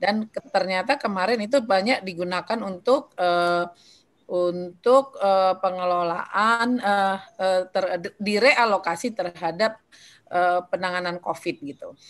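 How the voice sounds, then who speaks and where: A woman at a medium pitch, fairly slow pace and ordinary pitch variation, over a quiet background. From North Sumatra. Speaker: legislator. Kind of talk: presentation.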